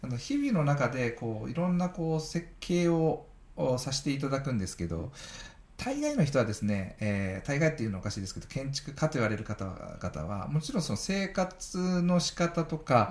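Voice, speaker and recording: A man's fairly high, somewhat breathy voice with very wide pitch swings. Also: moderate pace. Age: 40s. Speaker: architect, podcast host. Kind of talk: casual chat.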